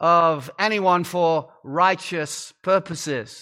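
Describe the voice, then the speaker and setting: With an American accent, a man speaks in a raised, projected voice with a bright, sharp tone. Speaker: guest preacher, pastor. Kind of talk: sermon. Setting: church pulpit before congregation.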